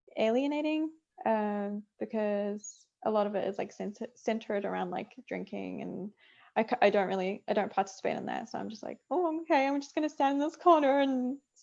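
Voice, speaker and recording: A woman speaks in a New Zealand accent at a fairly high pitch with a dark, mellow tone and lively intonation. Her pace is moderate, and her loudness swings widely. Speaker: game producer. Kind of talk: interview. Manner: hesitant, many fillers.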